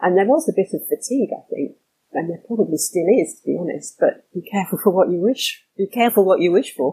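In a southern English accent, a woman with a dark, mellow, somewhat breathy tone and lively intonation speaks very fast, the sound dry and close with no echo. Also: medium pitch for a woman. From London suburbs. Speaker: trademark attorney. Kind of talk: interview.

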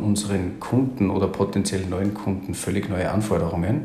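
A man with a slight Austrian accent speaks at a fairly quick pace in a fairly low pitch. Audible room echo and noticeable background noise surround his voice. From Austria, Salzburg. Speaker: agency founder and IT consultant. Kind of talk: interview.

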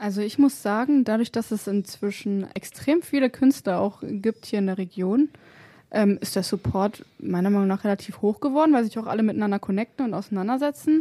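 A woman's dark, mellow tone comes through dry and close with no echo on a very clean recording with a silent background. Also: ordinary pitch variation, fairly quick pace. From Germany, Wolfsburg. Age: 20s. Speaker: hip-hop and R&B singer. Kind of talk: casual chat. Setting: radio studio.

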